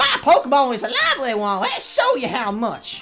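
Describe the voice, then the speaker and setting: Someone uses a put-on character voice. Faint music plays in the background. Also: female-sounding voice, high pitch for a woman, moderate pace. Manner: corny, exaggerated.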